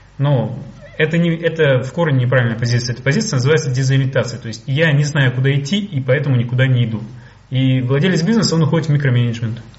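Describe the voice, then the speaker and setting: A man with a medium pitch and ordinary pitch variation talks at a very fast pace, with audible room echo and noticeable background noise. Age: 30s. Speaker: business coach. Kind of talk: webinar lecture.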